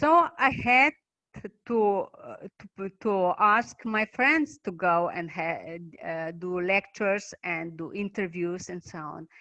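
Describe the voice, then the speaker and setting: A woman with a Slovenian accent speaks at a very slow pace, her medium-pitched voice carrying lively intonation. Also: big swings in loudness. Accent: non-native English, Slovenian. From Slovenia, Maribor. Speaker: basic income activist and researcher. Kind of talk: online talk presentation. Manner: halting.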